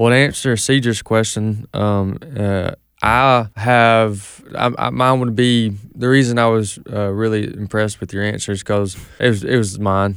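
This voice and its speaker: Man with an unremarkable speaking voice, fairly low pitch, fairly slow pace and fairly even intonation, on a very clean recording with a silent background. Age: 30s. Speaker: faith radio co-host. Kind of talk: casual chat.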